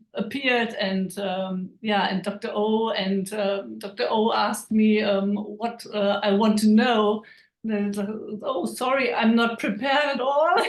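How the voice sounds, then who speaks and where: Delivery is fairly slow. Pitch movement stays fairly even throughout. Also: woman, fairly high pitch for a woman. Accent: non-native. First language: German. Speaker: network marketing team member. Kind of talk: testimony. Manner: halting.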